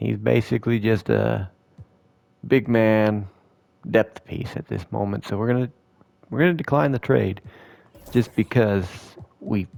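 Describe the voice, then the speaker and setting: A man talks at a fairly slow pace with a fairly low pitch and ordinary pitch variation. His tone is relaxed, and he takes long, frequent pauses. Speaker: gaming video creator. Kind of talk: gameplay commentary. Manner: casual, relaxed.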